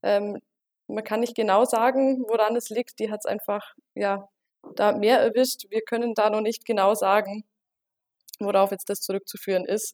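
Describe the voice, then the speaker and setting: A woman with a fairly high pitch talks at a moderate pace with fairly even intonation and long, frequent pauses, in a dry, close sound with no echo. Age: 20s. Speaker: market research consultant. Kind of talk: interview.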